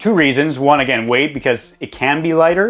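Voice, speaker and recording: A man with a Canadian accent has an unremarkable speaking voice. He talks at a fairly quick pace with ordinary pitch variation. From Canada, Alberta (Lethbridge). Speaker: welder, tiny house builder. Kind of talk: casual home tour.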